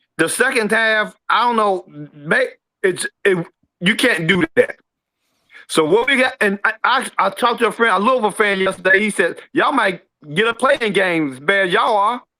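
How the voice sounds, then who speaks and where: A man's raised, projected voice with an American accent, bright, sharp tone, high pitch, ordinary pitch variation and moderate pace. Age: 60s. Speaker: caller. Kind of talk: call-in sports talk. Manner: halting, repeats words.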